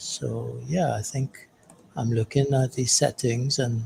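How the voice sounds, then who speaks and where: A soft-spoken man whispers, his voice somewhat breathy. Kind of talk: casual chat.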